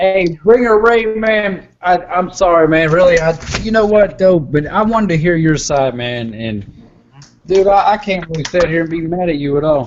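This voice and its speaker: A man with a Southern US accent speaks at a high pitch and a moderate pace, with lively intonation. Background noise is noticeable. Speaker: hangout participant. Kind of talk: casual chat. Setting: video call.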